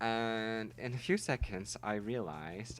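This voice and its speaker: A man with a Dutch accent talks at a fairly low pitch. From Netherlands. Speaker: gaming YouTuber. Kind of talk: gameplay voiceover. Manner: casual, halting.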